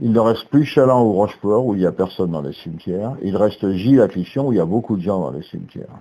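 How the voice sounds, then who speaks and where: The man's voice is fairly low, with a dark, mellow tone. He speaks at a fairly quick pace with lively intonation. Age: 70s. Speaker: retired engineer giving a family speech. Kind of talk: prepared speech at a family gathering. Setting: hall with family audience. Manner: formal.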